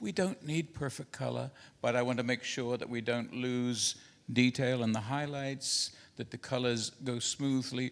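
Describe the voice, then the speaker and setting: A man speaks fairly slowly with a New Zealand accent at a medium pitch. His intonation is fairly even, and the recording is very clean with a silent background. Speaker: printing industry expert and inventor. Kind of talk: conference presentation. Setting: conference hall with projector and translators.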